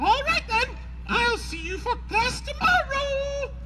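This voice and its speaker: With noticeable background noise, a woman puts on a squeaky character voice and speaks fairly slowly. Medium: stage play. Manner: sharp, loud.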